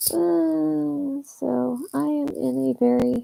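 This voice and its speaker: A woman is whispering. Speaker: film reaction youtuber. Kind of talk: casual livestream chat. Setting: livestream at home at night. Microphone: poor webcam.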